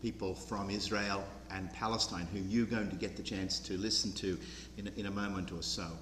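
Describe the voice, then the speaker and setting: Speaking with an Australian accent, a man has a fairly low pitch and ordinary pitch variation at a moderate pace. The room echo is audible. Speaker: program director. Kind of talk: public speech. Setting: church with audience.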